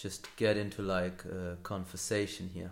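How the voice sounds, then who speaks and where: A man's very deep, low voice in flat, monotone intonation, with audible room echo. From Hamburg, Germany. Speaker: podcaster. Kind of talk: solo podcast monologue. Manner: halting, many fillers and repeats.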